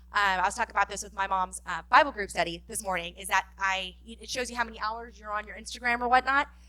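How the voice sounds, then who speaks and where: A woman's bright, sharp tone at a very fast pace. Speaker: fundraising director presenting a workshop. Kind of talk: conference workshop presentation.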